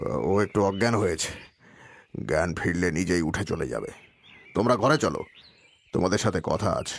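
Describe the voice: A man in a put-on character voice, low-pitched with a slightly husky edge and vocal fry, lively in intonation at a moderate pace.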